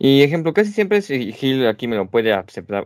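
On a very clean recording with a silent background, a man talks at a moderate pace with very wide pitch swings. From Mexico. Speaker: podcast co-host. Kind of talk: casual chat.

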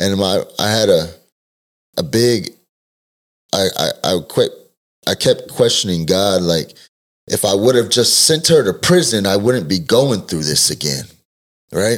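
With an American accent, a man talks at a fairly slow pace in a fairly low voice, his intonation lively and his pauses long and frequent. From Texas (Denton area). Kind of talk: testimony.

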